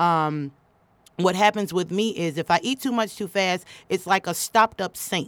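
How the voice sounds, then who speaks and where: A woman with an American accent has a normal speaking voice at a medium pitch with ordinary pitch variation, in a very clean recording with a silent background and a dry, close sound with no echo. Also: moderate pace. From Chicago, US Midwest. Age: 20s. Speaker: comedian. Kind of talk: casual chat. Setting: studio.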